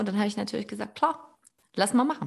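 Her voice is somewhat breathy, a woman at a fairly high pitch with lively intonation. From Erzgebirge, Saxony. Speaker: podcast host. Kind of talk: casual chat. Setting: online call.

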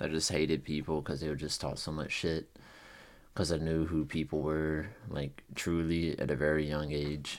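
A man speaks in a very deep, low voice with flat, monotone intonation at a moderate pace. The recording is very clean with a silent background. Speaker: podcast host. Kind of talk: casual solo monologue. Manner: casual, rambling, many fillers.

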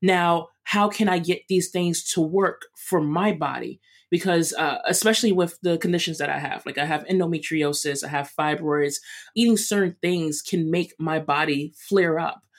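A woman's fairly low voice with a New York accent, fairly even intonation and a moderate pace. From Brooklyn, New York. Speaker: runner and chef. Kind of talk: interview.

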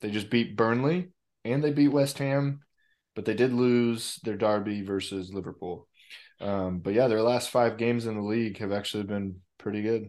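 This man has a normal speaking voice at a medium pitch, talking at a moderate pace with ordinary pitch variation against a quiet background. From USA. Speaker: football podcast co-host. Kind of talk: casual chat.

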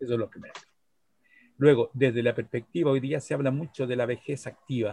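Somewhat breathy and dark, mellow in tone, a man speaks at a fairly quick pace in a medium pitch with fairly even intonation and big swings in loudness. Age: 60s. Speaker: psychologist and chess teacher. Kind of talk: casual interview.

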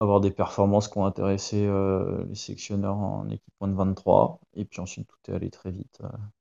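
Against a quiet background, a man with a dark, mellow, fairly low voice speaks at a moderate pace in a dry, close sound without echo. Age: 30s. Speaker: Olympic rower. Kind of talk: interview. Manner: hesitant, many fillers.

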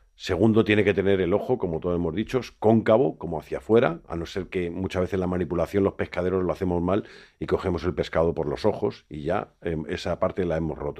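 A man with a very deep, low pitch and a dark, mellow tone speaks at a very fast pace with ordinary pitch variation. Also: quiet background. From Madrid, Spain (born in A Coruña). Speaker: fishmonger and seafood expert. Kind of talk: interview. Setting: studio.

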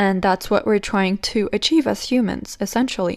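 A woman speaks with a non-native accent. Her pitch is medium and varies in an ordinary way. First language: not English. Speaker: spiritual podcast host. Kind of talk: solo podcast monologue. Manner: casual, slightly halting.

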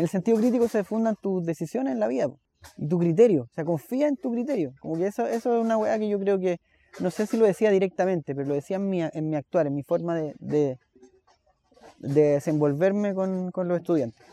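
A man with a Chilean accent speaks at a fairly quick pace and a high pitch with lively intonation, the sound dry and close with no echo. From Chile, Santiago. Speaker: musician and teacher. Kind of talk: interview conversation. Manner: halting, with frequent repetitions.

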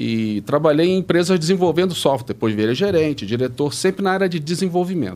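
The speech races at a very fast pace with hardly any pauses and very wide pitch swings. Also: man, fairly high pitch for a man. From Brazil, Rio de Janeiro. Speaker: retired tech executive. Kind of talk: interview.

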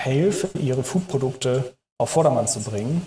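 Somewhat breathy and fairly high, a man's voice has a dark, mellow tone and moves at a fairly slow pace with ordinary pitch variation. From Hamburg, northern Germany. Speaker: food startup consultant. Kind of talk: interview. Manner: hesitant, many filler sounds.

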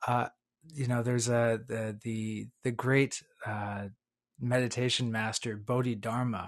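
A man's medium-pitched voice, monotone and flat, at a fairly slow pace over a quiet background. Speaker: podcast host. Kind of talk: casual interview. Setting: video call.

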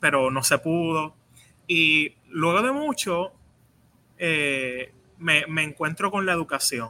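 Bright and sharp in tone, a man speaks at a high pitch with ordinary pitch variation on a very clean recording with a silent background. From Puerto Rico. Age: 30s. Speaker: doctoral student and researcher in educational leadership. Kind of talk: interview.

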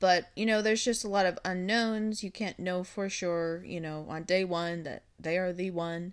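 A woman with an unremarkable speaking voice, medium pitch, fairly even intonation, a moderate pace and hardly any pauses, in a very clean recording with a silent background. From Minnesota. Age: 30s. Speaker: co-host, host's wife. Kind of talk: casual chat. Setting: studio.

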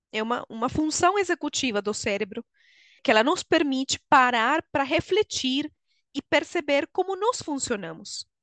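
In a Venezuelan accent, a woman speaks at a high pitch with very wide pitch swings. The sound is dry and close with no echo against a quiet background. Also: moderate pace. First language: Spanish (speaking Portuguese). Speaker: HR consultant and coach. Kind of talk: interview.

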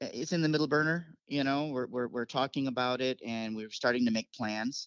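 A normal speaking voice talks at a moderate pace. Its fairly even intonation carries an American accent. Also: man. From upstate New York. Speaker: saxophonist and music teacher. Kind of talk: interview. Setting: phone call.

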